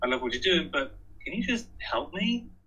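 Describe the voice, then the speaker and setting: Speaking fairly quickly, a man talks in a British accent. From England. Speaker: author and energy efficiency speaker. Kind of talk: presentation. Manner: hesitant with fillers.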